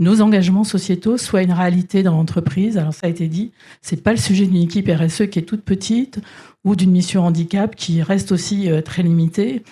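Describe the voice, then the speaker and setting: Somewhat breathy and dark, with a mellow tone, a woman's medium-pitched voice shows ordinary pitch variation at a moderate pace. The recording is very clean, with a silent background. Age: 60s. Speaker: corporate executive. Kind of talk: panel discussion.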